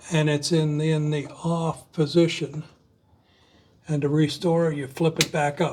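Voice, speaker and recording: In an American accent, a man talks at a fairly high pitch with monotone, flat intonation. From US, southwest Florida. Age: 70s. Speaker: retired architect, DIY video host. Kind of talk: tutorial.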